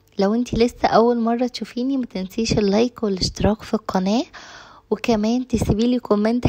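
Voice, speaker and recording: In an Egyptian accent, a woman speaks at fairly high pitch and a moderate pace with ordinary pitch variation, in a dry, close sound with no echo. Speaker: cooking and home vlogger. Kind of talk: casual vlog talk to viewers. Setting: home kitchen.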